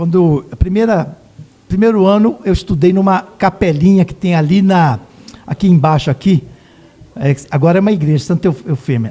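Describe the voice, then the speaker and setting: A high-voiced man at a moderate pace, with lively intonation. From Brazil, Osasco (São Paulo). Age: 60s. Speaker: local politician. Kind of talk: casual interview.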